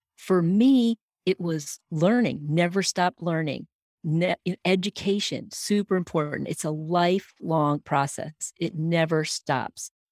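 Here is a plain, everyday voice at a fairly slow pace with ordinary pitch variation. The sound is dry and close, with no echo. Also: woman, fairly low pitch for a woman. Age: 60s. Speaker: leadership coach and personality trainer. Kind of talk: interview.

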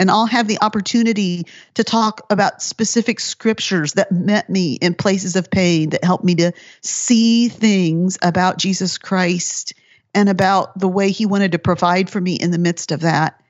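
A woman with a plain, everyday voice speaks at medium pitch and a moderate pace, keeping her loudness very even. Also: fairly even intonation. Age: 50s. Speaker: author and Bible teacher. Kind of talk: casual interview.

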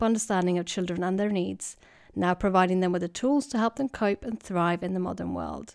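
Dry and close with no echo on a very clean recording with a silent background, a woman with a Swedish accent speaks at a fairly quick pace and medium pitch, with ordinary pitch variation. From Sweden. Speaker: clinical psychologist and podcast host. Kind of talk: scripted introduction.

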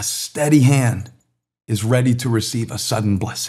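A somewhat breathy voice comes through on a very clean recording with a silent background. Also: man. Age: 50s. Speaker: pastor. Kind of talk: sermon. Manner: animated.

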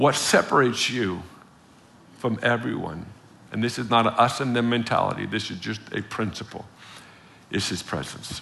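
A man's bright, sharp voice at medium pitch, with vocal fry, a moderate pace and ordinary pitch variation. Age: 40s. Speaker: visiting preacher. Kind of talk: sermon. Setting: church with congregation. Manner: animated.

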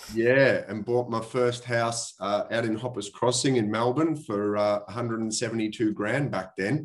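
A man speaks with an Australian accent at a medium pitch. His very slow delivery has fairly even intonation and hardly any pauses. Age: 40s. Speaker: property investor. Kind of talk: interview. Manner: casual.

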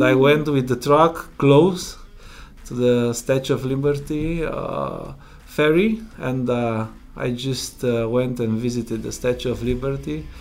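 A man with a Romanian accent and medium pitch speaks at a very slow pace. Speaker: truck driver and driver coach. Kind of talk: interview, casual conversation. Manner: halting, hesitant with fillers.

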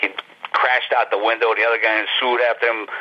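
There is noticeable background noise behind a man with an American accent. He speaks at a medium pitch and a fairly quick pace. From Ohio, US Midwest (Youngstown). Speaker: comic book artist. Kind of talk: interview. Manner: casual, animated.

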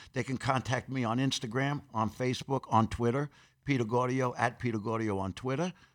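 Recorded very cleanly against a silent background, a man with a New York accent speaks fairly quickly at a medium pitch with fairly even intonation. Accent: New York (Queens). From Corona, Queens, New York City. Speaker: actor and personal trainer. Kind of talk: interview.

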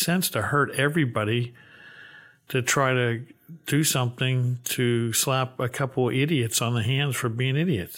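An ordinary speaking voice from a man, medium in pitch, with very even loudness. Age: 60s. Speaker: bank CEO. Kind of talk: interview discussion on banking policy.

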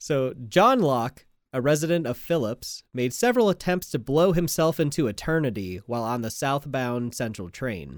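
A man with a plain, everyday voice, medium pitch and lively intonation, at a moderate pace with hardly any pauses, on a very clean recording with a silent background. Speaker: podcast host. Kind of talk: casual banter podcast chat.

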